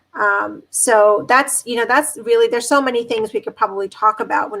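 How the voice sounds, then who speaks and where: A woman talks fairly quickly. Her pitch shifts in an ordinary way. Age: 40s. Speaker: dermatologist. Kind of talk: panel discussion. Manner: halting, many fillers.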